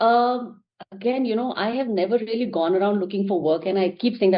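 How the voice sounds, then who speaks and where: Using lively intonation, a woman with an Indian accent speaks at a fairly quick pace and a fairly high pitch. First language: Hindi. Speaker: actor and producer. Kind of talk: interview.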